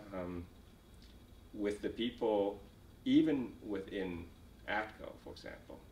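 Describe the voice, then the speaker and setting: A somewhat breathy man with a Vietnamese accent, audible room echo around him. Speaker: refugee, company executive. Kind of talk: oral history interview. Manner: halting, many fillers and repetitions.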